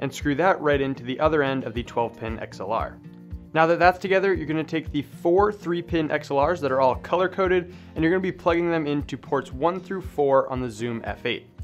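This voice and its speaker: A fairly quick pace and ordinary pitch variation, with music in the background. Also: man. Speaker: audio gear tutor. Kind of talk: tutorial.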